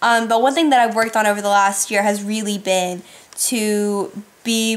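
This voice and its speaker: The voice belongs to a woman. It is pitched fairly high. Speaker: YouTuber. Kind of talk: casual Q&A vlog. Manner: fast.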